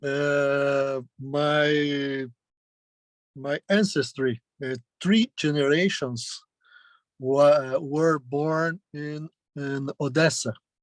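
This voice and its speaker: At a very slow pace with long, frequent pauses, a man speaks with a Brazilian Portuguese accent and a fairly high pitch. His intonation is fairly even, and the sound is dry and close with no echo. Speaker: journalism professor. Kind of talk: lecture. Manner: halting, many fillers.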